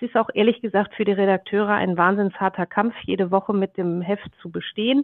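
An ordinary speaking voice goes at a fairly quick pace with hardly any pauses and fairly even intonation. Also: woman, medium pitch for a woman. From Germany, Ruhr area. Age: 40s. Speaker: media executive. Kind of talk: interview. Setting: video call.

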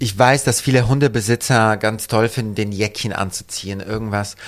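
A man speaks in a normal speaking voice with a fairly low pitch. His intonation stays fairly even. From Poland. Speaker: fashion designer. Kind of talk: casual interview. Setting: his shop and studio.

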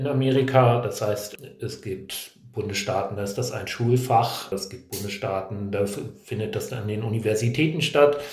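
A man speaks at a moderate pace and medium pitch, with ordinary pitch variation. Noticeable background noise and audible room echo are present. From Hannover, northern Germany. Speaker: career planning trainer. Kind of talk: casual interview. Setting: boarding school seminar venue.

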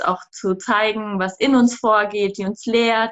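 In a normal speaking voice, a woman with a fairly high pitch talks at a fairly slow pace with fairly even intonation. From southern Germany. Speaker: cacao business co-founder. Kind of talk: interview.

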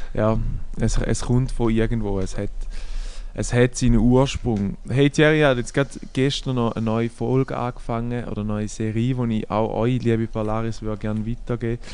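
His intonation stays fairly even. The man talks at a moderate pace and a medium pitch. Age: 20s. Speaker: podcast co-host. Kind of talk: casual chat.

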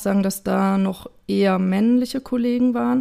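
A woman's medium-pitched voice with a dark, mellow tone, on a very clean recording with a silent background. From Germany, Idstein (Hesse). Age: 30s. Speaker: amateur footballer and creative professional. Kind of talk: interview.

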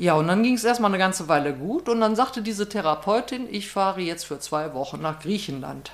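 A woman speaks in an unremarkable speaking voice at a medium pitch, with lively intonation and a fairly quick pace that leaves hardly any pauses. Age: 60s. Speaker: recovering alcoholic and peer guide. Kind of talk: personal testimony.

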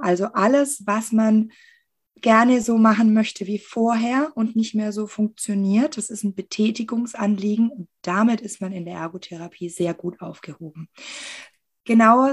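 A woman speaks in a fairly high pitch and sounds somewhat breathy. Her pace is fairly slow. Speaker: occupational therapist. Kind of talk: interview.

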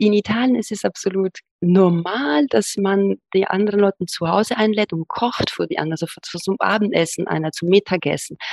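A woman talks at a moderate pace and a medium pitch, with ordinary pitch variation. There are hardly any pauses, and the sound is dry and close with no echo. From Italy, Rome. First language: Italian (speaking German). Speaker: academic, podcast guest. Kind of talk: casual interview.

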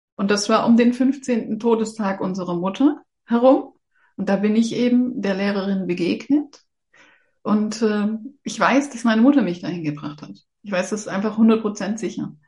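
Somewhat breathy, a woman speaks at a fairly high pitch with a dark, mellow tone. Her pitch varies in an ordinary way, while her loudness swings widely. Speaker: animal communicator. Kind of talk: casual interview chat.

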